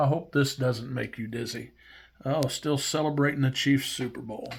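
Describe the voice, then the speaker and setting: With an American accent, a man talks at a medium pitch, his intonation fairly even. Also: moderate pace. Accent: Midwestern and hillbilly accent combined. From Missouri. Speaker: YouTube collector, vintage baseball cards. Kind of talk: casual vlog show-and-tell. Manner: halting, many fillers.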